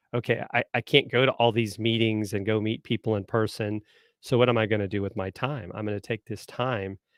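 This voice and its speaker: A man speaks with a slight Southern US accent and a fairly low pitch. His intonation is fairly even and his pace fairly quick. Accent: slight southern American. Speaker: marketing consultant and former marine. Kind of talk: live stream interview. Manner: hesitant fillers.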